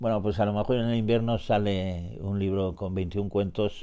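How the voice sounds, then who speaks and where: This man has a very deep, low pitch and a dark, mellow tone. His pitch varies in an ordinary way. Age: 80s+. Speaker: writer and poet. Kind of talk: interview. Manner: halting, with many repetitions and fillers.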